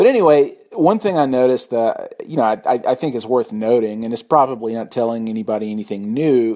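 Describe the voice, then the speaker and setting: A man's plain, everyday voice at medium pitch, a fairly quick pace, and ordinary pitch variation. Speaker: podcast host. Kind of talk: casual chat.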